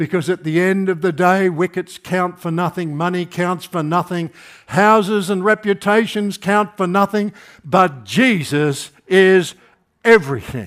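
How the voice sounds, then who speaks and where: A man speaks at a high pitch with an Australian accent. The recording is very clean, with a silent background. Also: ordinary pitch variation, fairly slow pace. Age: 70s. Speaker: preacher. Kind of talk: sermon. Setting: church.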